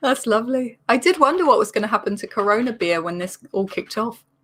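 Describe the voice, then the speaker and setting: A woman with an English accent, lively intonation and a fairly quick pace. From England. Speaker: comedian. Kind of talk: casual chat.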